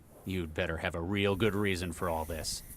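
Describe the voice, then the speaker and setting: Over clear background noise, a man uses a put-on character voice, very deep and low, at a fairly quick pace. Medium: video game. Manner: blunt, dry, terse.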